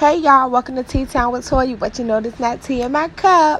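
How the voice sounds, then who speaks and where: Against noticeable background noise, a woman with a high pitch speaks in an animated tone. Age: 30s. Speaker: vlogger. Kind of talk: casual monologue.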